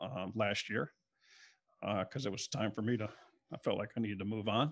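In a very clean recording with a silent background, a man speaks with an American accent. He has a fairly low pitch, ordinary pitch variation and a moderate pace. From US South, South Florida (South Broward). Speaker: refrigeration business founder. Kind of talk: interview. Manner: halting.

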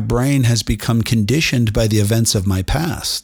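A man talks at a medium pitch with ordinary pitch variation. His voice is somewhat breathy, at a moderate pace. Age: 50s. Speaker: inspirational podcast host. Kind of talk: motivational monologue. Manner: animated.

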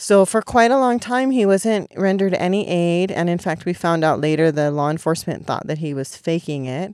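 In an ordinary speaking voice with an American accent, a woman with a fairly low pitch talks at a fairly quick pace with lively intonation and hardly any pauses, in a very clean recording with a silent background. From California. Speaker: protest medic organizer. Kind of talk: podcast interview. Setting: outdoors at a protest camp.

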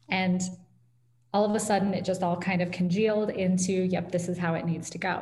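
Over noticeable background noise and audible room echo, a woman with an American accent speaks at a medium pitch and a fairly quick pace in a monotone, flat intonation. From US Midwest, Iowa (Ames). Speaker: tech company founder and author. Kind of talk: interview conversation.

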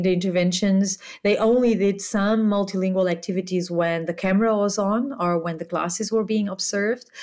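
A woman's normal speaking voice at a medium pitch and moderate pace, with fairly even intonation and hardly any pauses. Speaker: university lecturer. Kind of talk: interview answers.

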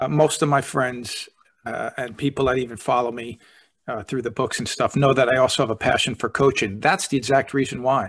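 Over a quiet background, a man with an ordinary speaking voice talks at a fairly quick pace and medium pitch, with ordinary pitch variation. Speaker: podcast host, speaker and author. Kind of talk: casual interview conversation.

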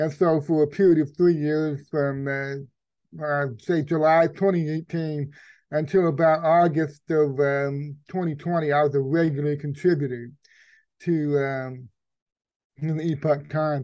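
Over a quiet background, a man with an American accent speaks very slowly in a fairly high pitch, his tone dark and mellow and his intonation flat and monotone. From Texas. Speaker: investigative journalist. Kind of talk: interview conversation.

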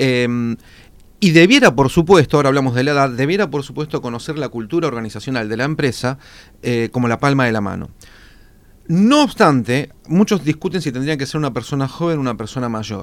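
At a fairly quick pace, a man talks in an unremarkable speaking voice, fairly high in pitch with ordinary pitch variation. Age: 40s. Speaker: public relations consultant. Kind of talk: radio interview.

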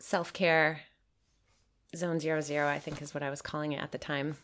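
In a very clean recording with a silent background, a woman with a Midwestern American accent speaks at a moderate pace in a very deep, low pitch. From Michigan, US. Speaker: permaculture teacher and designer. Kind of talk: casual conversation.

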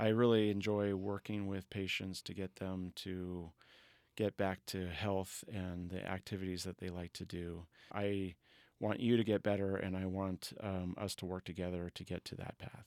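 A man with an American accent speaks in a very deep, low voice with a monotone, flat intonation at a moderate pace, on a very clean recording with a silent background. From Colorado and Northern California. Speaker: orthopedic surgeon. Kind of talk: interview. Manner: halting, many fillers.

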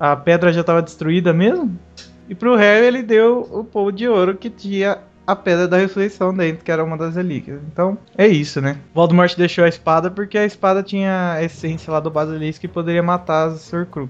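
Someone speaks at a fairly quick pace with music in the background. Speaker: podcast host. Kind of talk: casual chat.

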